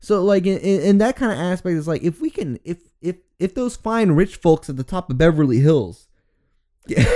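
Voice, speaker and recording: A man's high pitch and dark, mellow tone, with lively intonation. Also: moderate pace. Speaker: podcast co-host. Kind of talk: casual chat. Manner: casual, laughing.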